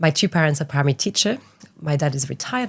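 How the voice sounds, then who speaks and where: Speaking very fast with a French accent, a woman has a very deep, low pitch. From France, small island off west coast. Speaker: art entrepreneur. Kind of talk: interview.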